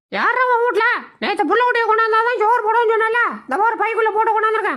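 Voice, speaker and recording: In a put-on character voice, the speaker goes at a fairly quick pace with an extremely high pitch. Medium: fan dub. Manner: impatient, pushy.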